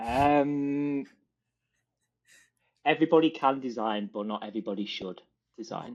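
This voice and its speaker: Against a quiet background, a man with a British accent talks at a moderate pace and medium pitch, with ordinary pitch variation and long, frequent pauses. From Britain. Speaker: design leader. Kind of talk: interview.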